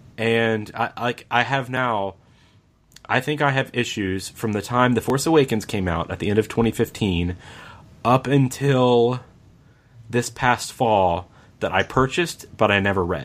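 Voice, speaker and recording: Speaking at a fairly slow pace, this man has an ordinary speaking voice, medium in pitch with ordinary pitch variation. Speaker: podcast host. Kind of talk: casual interview conversation.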